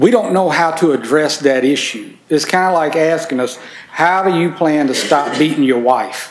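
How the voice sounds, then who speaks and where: Speaking at a moderate pace with a Mississippi accent, a man is heard with audible room echo and light background noise. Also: ordinary pitch variation. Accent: Southern US (Mississippi). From Mississippi, US South. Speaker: farm organization environmental coordinator; conference presenter. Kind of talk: conference presentation. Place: meeting room. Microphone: camera far.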